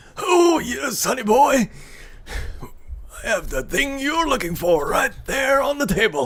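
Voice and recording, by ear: In a put-on character voice, the speaker goes at a fairly slow pace, with long, frequent pauses. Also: man, extremely high pitch for a man.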